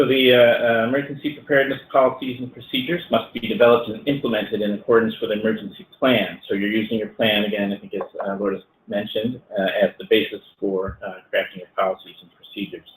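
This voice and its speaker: The words come at a very fast pace with hardly any pauses, ordinary pitch variation and big swings in loudness. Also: man, medium pitch for a man. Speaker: lawyer presenting a webinar. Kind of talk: webinar presentation. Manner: hesitant, many fillers.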